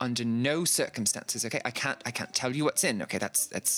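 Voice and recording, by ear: This clip is read aloud in a natural voice.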